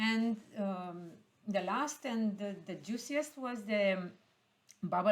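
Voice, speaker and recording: In a Romanian accent, a woman speaks at a very slow pace with ordinary pitch variation. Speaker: heritage expert. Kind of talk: panel discussion. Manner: halting, many fillers.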